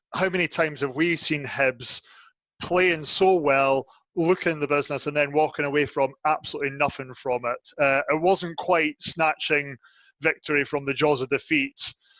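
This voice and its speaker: With a Scottish accent, a man speaks at a moderate pace in a bright, sharp tone and fairly high pitch, his intonation fairly even, the sound dry and close with no echo against a quiet background. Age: 30s. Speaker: football fan pundit. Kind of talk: casual chat.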